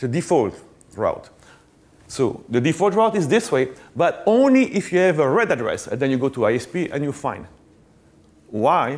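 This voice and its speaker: A man with a French accent and fairly high pitch, moderate pace, very wide pitch swings, and long, frequent pauses. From Belgium. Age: middle-aged. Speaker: network engineer, conference speaker; conference speaker. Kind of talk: conference talk. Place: stage. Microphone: lapel.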